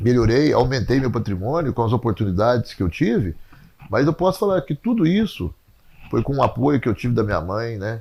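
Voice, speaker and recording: A man talks at a fairly quick pace with a somewhat breathy voice. His medium pitch swings very widely. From Brazil, Passos (Minas Gerais). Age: 60s. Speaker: sports coach and former city secretary. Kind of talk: interview testimony.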